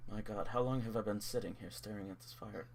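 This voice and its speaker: Mumbling very fast in a put-on character voice, a man with a fairly low pitch is heard over clear background noise. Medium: actual play. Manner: bitter, mumbling.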